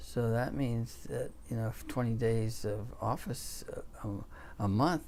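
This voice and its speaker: Room echo can be heard on this recording. The man speaks fairly slowly. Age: 60s. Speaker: orthopedic surgeon. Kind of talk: interview. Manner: halting, many fillers.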